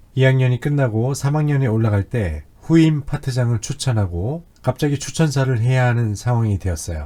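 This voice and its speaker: A man speaks at a medium pitch and a moderate pace, barely pausing. He has an unremarkable speaking voice with lively intonation. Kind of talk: testimony.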